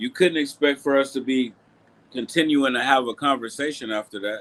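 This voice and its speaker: A man with a medium pitch and ordinary pitch variation speaks at a fairly quick pace. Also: very clean recording, silent background. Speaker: boxing livestream host. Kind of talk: casual livestream chat. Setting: live stream.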